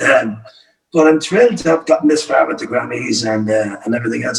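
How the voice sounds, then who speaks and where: With a Cork accent, a man speaks at a fairly quick pace using lively intonation. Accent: Cork Irish. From Ireland, County Cork. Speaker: folk singer-songwriter. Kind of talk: casual chat. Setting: video call.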